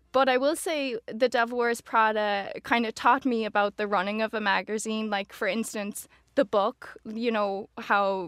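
A woman speaks in a western Irish accent with a fairly high pitch and fairly even intonation. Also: dry, close sound with no echo, very clean recording, silent background. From Ireland, Galway (Oranmore). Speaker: social media manager. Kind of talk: casual chat. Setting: studio.

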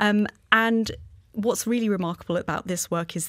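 The recording is very clean, and the background is silent. An ordinary speaking voice keeps a moderate pace, its intonation fairly even. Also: woman. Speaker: museum curator. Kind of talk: interview.

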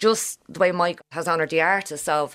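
A woman speaks at a fairly quick pace with a fairly low pitch and ordinary pitch variation. The recording is very clean, with a silent background. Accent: Dublin. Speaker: historian. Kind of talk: interview. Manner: animated.

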